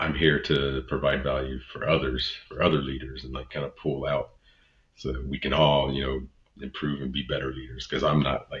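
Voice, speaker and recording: At a very deep, low pitch, a man talks at a moderate pace in a monotone, flat intonation. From Texas. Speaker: podcast host, leadership consultant and real estate broker. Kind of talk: solo podcast monologue. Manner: halting, fumbling over words.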